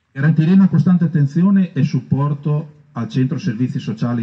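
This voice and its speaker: Fairly high for a man, this somewhat breathy voice has a dark, mellow tone. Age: 50s. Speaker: council candidate, outgoing councillor. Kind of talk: reading a prepared programme. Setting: outdoors in a park. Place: garden. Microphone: camera far.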